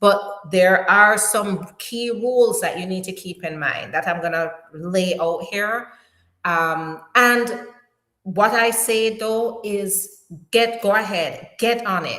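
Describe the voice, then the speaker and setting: A woman speaks in a strong Jamaican accent at a very slow pace, her pitch medium with ordinary variation. Room echo is audible. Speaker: immigration attorney. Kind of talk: live stream Q&A. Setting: live stream. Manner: animated.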